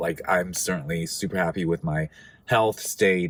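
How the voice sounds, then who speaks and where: A very deep, low-pitched man's voice at a fairly slow pace, with ordinary pitch variation. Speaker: video blogger. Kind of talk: casual vlog talk to camera. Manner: hesitant, many fillers.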